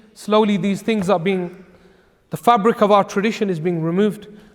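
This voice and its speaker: A man with an English accent, high-pitched, fairly even in intonation, at a fairly quick pace. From England. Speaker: Islamic scholar. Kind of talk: religious lecture. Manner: conversational.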